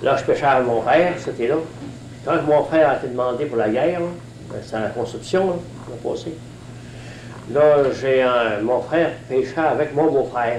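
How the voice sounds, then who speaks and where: Noticeable background noise and audible room echo surround a man speaking in a rural Gaspésie accent. His medium-pitched voice moves at a moderate pace with long, frequent pauses. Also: ordinary pitch variation. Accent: rural Gaspésie Quebec French. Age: 70s. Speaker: retired fisherman. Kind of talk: oral history interview. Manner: halting, many hesitations.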